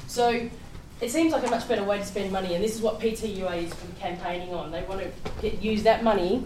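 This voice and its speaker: A woman with an Australian accent talks at a fairly quick pace with ordinary pitch variation. Noticeable background noise and audible room echo are present. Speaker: public transport advocate. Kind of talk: presentation. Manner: loud. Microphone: no microphone.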